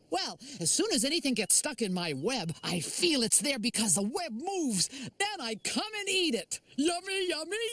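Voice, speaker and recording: A cartoonish character voice, pitched high with very wide pitch swings, moves along at a moderate pace. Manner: warm, cheerful.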